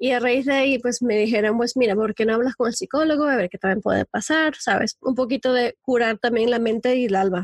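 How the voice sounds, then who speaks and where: A woman speaks at a fairly quick pace with a high pitch and ordinary pitch variation. She barely pauses, and the sound is dry and close with no echo. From Spain. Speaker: life coach and podcaster. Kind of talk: interview.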